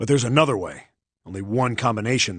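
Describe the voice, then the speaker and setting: Growling in a put-on character voice, a man rattles along at a very fast pace in a medium pitch with ordinary pitch variation over a quiet background. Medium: video game. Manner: gruff, blunt.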